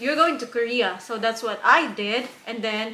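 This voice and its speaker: In a room with audible echo, a woman talks at a moderate pace in a fairly high pitch. Noticeable background noise sits behind her. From Philippines. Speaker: YouTuber and factory worker. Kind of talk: casual interview. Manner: halting, many fillers.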